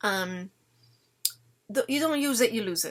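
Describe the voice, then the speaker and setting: With an Italian accent, a woman speaks at a fairly high pitch with lively intonation. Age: 50s. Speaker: parenting vlogger. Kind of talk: casual chat.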